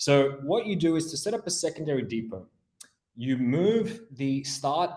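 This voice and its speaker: An Australian accent with ordinary pitch variation. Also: man. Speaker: implementation engineer. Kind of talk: software webinar demo. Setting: online webinar.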